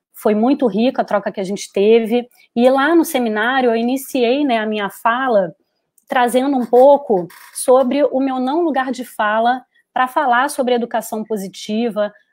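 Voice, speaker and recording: A woman speaks in a Carioca accent. Her pitch is high, with ordinary pitch variation. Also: moderate pace. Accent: Carioca (Rio de Janeiro). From Rio de Janeiro, Brazil. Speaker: psychologist. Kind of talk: webinar talk. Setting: online live stream.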